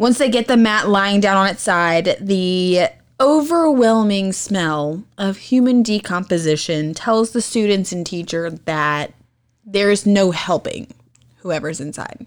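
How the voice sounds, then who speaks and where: The tone is animated and the intonation lively. The pace is fairly slow. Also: woman, medium pitch for a woman. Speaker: true crime podcast co-host. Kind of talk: casual banter. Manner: animated, excitable.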